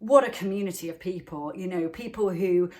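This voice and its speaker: In a Welsh accent, a woman speaks at a fairly quick pace with ordinary pitch variation. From Wales. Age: middle-aged. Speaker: wellness channel host. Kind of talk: motivational talk to camera. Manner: fast.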